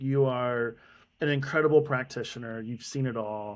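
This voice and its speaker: At a moderate pace, a man with an American accent talks at a medium pitch on a very clean recording with a silent background. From US. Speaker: podcast host. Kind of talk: casual interview. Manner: animated.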